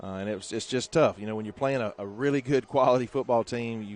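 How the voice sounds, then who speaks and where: Ordinary pitch variation in a Southern US accent. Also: man. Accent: Southern US (Georgia). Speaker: high school football play-by-play announcer. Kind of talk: live sports commentary. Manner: halting, many fillers.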